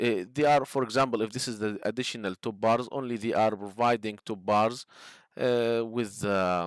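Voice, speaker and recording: On a very clean recording with a silent background, a man speaks at a moderate pace. His voice has a medium pitch and fairly even intonation. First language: not English. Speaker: structural engineering instructor. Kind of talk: tutorial. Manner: halting, many fillers.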